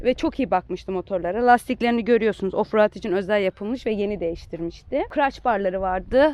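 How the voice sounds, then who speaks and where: Hardly any pauses break this plain, everyday voice, which moves at a fairly quick pace with ordinary pitch variation. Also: woman, medium pitch for a woman. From Turkey. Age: 20s. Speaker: motorcyclist and engineer. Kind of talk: casual interview.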